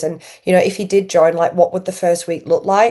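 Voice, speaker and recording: A woman's tone is dark and mellow, and her pitch is medium. She keeps her intonation fairly even. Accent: strong Yorkshire. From Yorkshire, northern England. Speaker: podcast host. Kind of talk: interview.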